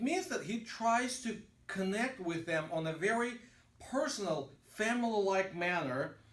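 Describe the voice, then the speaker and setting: There is audible room echo as a man speaks at a fairly slow pace with lively intonation. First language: Russian. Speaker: pastor. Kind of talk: lecture. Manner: halting.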